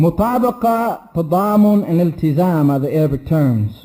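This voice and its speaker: A man speaks in an ordinary speaking voice, pitched fairly high for a man. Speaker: Islamic teacher. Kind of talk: lecture.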